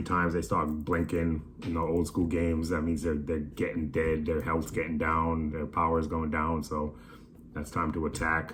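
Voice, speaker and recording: There is audible room echo around a man's very deep, low voice. He talks at a fairly quick pace in a monotone, flat intonation. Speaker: toy collector vlogger. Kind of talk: casual haul video. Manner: casual, profane slang.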